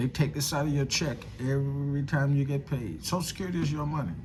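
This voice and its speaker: A man's fairly high, somewhat breathy voice at a fairly quick pace, with ordinary pitch variation and audible room echo. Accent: American. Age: 60s. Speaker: political commentator vlogger. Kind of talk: casual monologue. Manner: halting, many fillers and repetitions.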